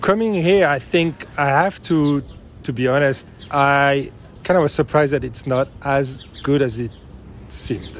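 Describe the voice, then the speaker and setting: Speaking at a fairly slow pace, a man with a French accent has a fairly high pitch and ordinary pitch variation. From France. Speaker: interviewee. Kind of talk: casual interview. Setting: coffee shop.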